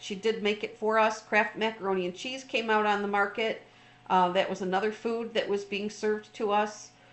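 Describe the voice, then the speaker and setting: A woman's fairly high-pitched voice at a moderate pace. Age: 60s. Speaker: trauma recovery coach. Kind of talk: informal talk. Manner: halting, many fillers.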